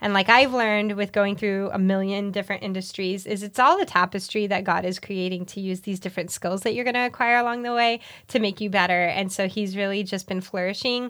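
An unremarkable speaking voice from a woman at medium pitch, fairly quick pace and fairly even intonation, with hardly any pauses, in a very clean recording with a silent background. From Miami, Florida (Puerto Rican family). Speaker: hairdresser and business owner. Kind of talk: interview.

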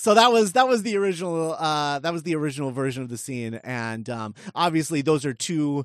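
Fairly quick pace and fairly high pitch from a man, pitch varying in an ordinary way

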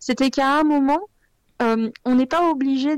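A woman with a high voice speaks at a fairly slow pace in a dry, close recording with no echo. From France, Lyon. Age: 30s. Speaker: blogger. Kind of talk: interview.

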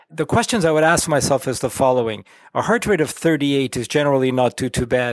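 This man has a normal speaking voice with a fairly high pitch. He talks at a fairly quick pace. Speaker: cardiologist and electrophysiologist. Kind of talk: educational interview.

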